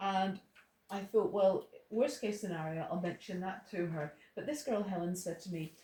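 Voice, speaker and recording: A woman with an Irish accent speaks at a medium pitch with ordinary pitch variation. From Ireland. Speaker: Bible teacher. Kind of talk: testimony. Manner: halting.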